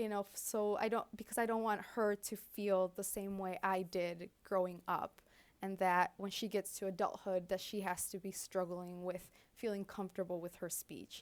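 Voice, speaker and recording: At medium pitch and a moderate pace, a woman speaks in a monotone, flat intonation. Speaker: social services worker with a stutter. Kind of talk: casual interview chat. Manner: halting, with blocks and fillers.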